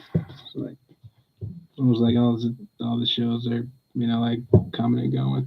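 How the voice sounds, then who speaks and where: Soft-spoken and fairly even in intonation, a man talks with long, frequent pauses. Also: medium pitch for a man, moderate pace. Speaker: pet livestreamer. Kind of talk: casual chat. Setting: livestream at home.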